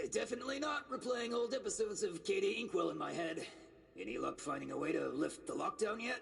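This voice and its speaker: A man rattles off lines at a very fast pace in a raspy, put-on character voice. Light background noise sits behind him. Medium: video game. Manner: wry, sarcastic.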